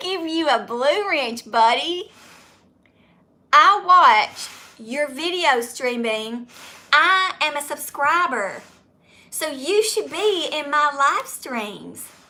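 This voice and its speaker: A woman with a Southern US accent projects a raised voice at a very slow pace. Her high pitch swings very widely. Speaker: YouTuber. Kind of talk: live stream Q&A chat. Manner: loud.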